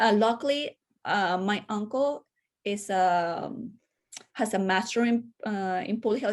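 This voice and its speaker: A woman speaks with a Spanish accent at a fairly high pitch. The background is quiet. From Venezuela, Caracas. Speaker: public health educator and podcaster. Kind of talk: interview conversation.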